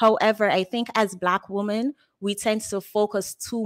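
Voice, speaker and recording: A woman speaks at a fairly slow pace with a Jamaican accent. The sound is dry with no echo, and the background is quiet. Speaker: caller. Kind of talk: call-in discussion. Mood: earnest, opinionated.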